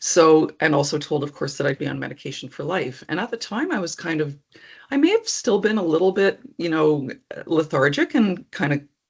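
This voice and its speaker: This woman has a plain, everyday voice, pitched fairly low. Her intonation is lively and her pace fairly quick. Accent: Canadian. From Alberta, Canada (Edmonton). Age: 60s. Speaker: person living with epilepsy. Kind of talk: personal testimony interview. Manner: conversational with frequent ums.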